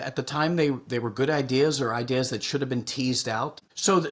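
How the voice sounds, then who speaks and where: Using a plain, everyday voice, a man speaks at a moderate pace with a medium pitch. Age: 60s. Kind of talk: podcast interview.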